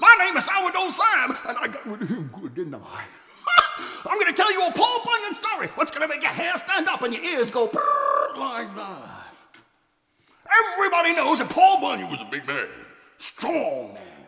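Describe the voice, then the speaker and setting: The pace here is moderate. The voice is a put-on character voice. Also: man, extremely high pitch for a man. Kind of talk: tall tale storytelling performance. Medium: read story. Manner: folksy, comic.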